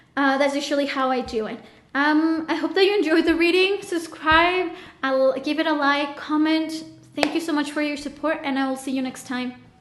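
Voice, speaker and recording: At a moderate pace and high pitch, a woman speaks with fairly even intonation amid noticeable background noise and audible room echo. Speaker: tarot reader. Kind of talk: tarot reading monologue. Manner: halting.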